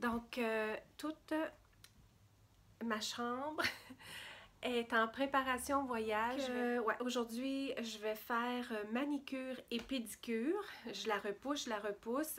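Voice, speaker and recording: In a Quebec accent, a woman speaks at a high pitch with fairly even intonation. Her pace is very slow, with long, frequent pauses. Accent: Québécois French. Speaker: beauty and lifestyle vlogger. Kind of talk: casual vlog talk to camera.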